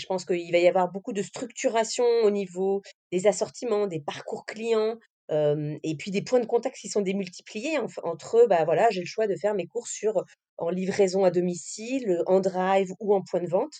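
A woman with a dark, mellow tone at medium pitch, a moderate pace, ordinary pitch variation and big swings in loudness. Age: 30s. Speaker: category management professional. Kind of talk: interview. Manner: halting, many fillers.

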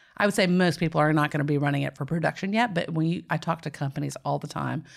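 A woman with a Nashville accent speaks very fast in a very deep, low voice with vocal fry. The recording is very clean, with a silent background. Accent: Southern US (Nashville). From Tennessee, US South.

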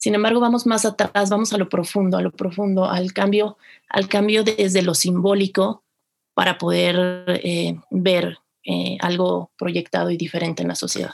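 At a moderate pace, a woman speaks in a normal speaking voice with medium pitch and fairly even intonation. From Mexico City. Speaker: film festival producer. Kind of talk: interview.

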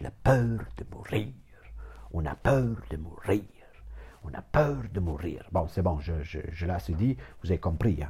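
A man with a very deep, low pitch and a dark, mellow tone, vocal fry, very wide pitch swings, a very slow pace and long, frequent pauses. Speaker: therapist. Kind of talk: informal lecture. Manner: rambling, repetitive, digressive.

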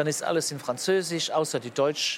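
Amid noticeable background noise, a man speaks at a moderate pace in a fairly high pitch with ordinary variation. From Luxembourg. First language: Luxembourgish (speaking German). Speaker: politician. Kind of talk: interview. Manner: halting.

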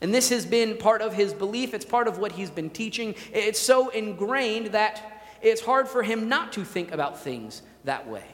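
Over noticeable background noise, a man talks loudly at a moderate pace in a high-pitched voice. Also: ordinary pitch variation. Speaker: pastor. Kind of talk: sermon. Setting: church.

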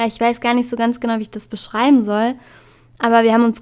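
Recorded very cleanly against a silent background, a woman talks in a fairly high voice. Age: 20s. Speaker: podcast host. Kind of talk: solo podcast monologue.

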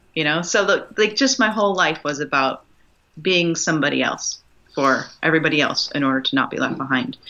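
Her voice is an unremarkable speaking voice with a fairly low pitch. The woman talks at a moderate pace with lively intonation. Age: 40s. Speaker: nurse and wellbeing coach. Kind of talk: casual chat.

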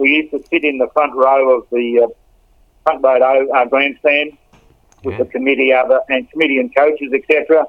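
A man with an Australian accent speaks at a moderate pace in a fairly high pitch, his intonation monotone and flat. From Australia, Melbourne. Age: 70s. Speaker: football club relative sharing memories. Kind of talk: casual interview reminiscing. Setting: at home, lying in bed. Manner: halting.

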